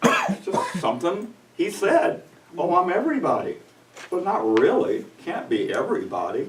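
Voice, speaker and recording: Noticeable background noise and audible room echo accompany a man talking at a fairly slow pace. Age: 60s. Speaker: pastor. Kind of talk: sermon.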